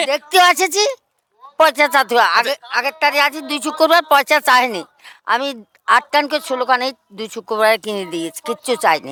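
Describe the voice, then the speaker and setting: A woman speaks in a raised, projected voice that is high-pitched, bright and sharp, with lively intonation. The sound is dry and close, with no echo. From Lalgola, Murshidabad, West Bengal, India. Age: 70s. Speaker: poor widow. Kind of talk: interview answer.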